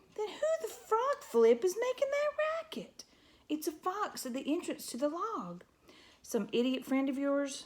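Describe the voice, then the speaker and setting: A woman's put-on character voice, shrill and growling, at an extremely high pitch with very wide swings and a moderate pace. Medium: read story. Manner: gruff, snarling, insulting.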